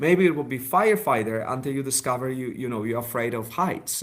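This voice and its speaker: This man's somewhat breathy voice swings very widely in pitch. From Poland. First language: Polish. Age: 40s. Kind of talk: interview. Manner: halting.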